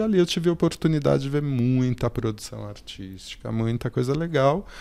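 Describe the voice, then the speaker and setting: A plain, everyday voice from a man at a medium pitch. He speaks at a fairly slow pace. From São Paulo, South Zone. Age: 40s. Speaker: cultural project manager. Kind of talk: casual chat.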